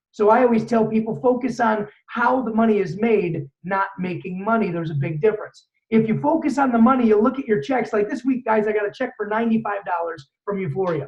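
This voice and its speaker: The voice is loud and moves at a fairly quick pace with hardly any pauses and ordinary pitch variation. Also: man, high pitch for a man. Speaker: network marketing trainer. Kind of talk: motivational training talk. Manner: fast.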